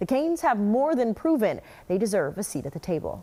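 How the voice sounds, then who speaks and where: At a very fast pace, a woman with a medium pitch speaks in a very clean recording with a silent background. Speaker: sports anchor. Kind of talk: TV sports news report. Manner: upbeat.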